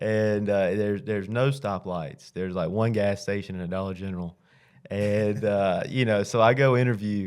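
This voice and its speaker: Speaking at a moderate pace with a Southern US accent, a man with a fairly low pitch and ordinary pitch variation is heard in a very clean recording with a silent background. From Alabama (south). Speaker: high school football coach. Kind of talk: interview. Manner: conversational, with frequent fillers.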